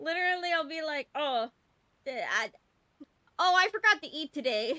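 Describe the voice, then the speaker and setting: Extremely high, raised and projected female voice with lively intonation at a moderate pace, dry and close with no echo. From Canada, British Columbia. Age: 20s. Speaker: VTuber streamer. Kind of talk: casual live-stream chat. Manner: animated, halting with many restarts.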